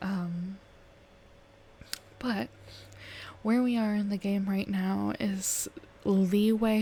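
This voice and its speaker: A soft-spoken woman whispers at a very slow pace, somewhat breathy. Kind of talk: ASMR gaming let's play. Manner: whispered, soft-spoken.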